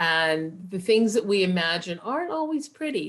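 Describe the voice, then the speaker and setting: A woman speaks at a moderate pace and a medium pitch in an unremarkable speaking voice, with a quiet background. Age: 60s. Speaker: workshop leader. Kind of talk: online workshop.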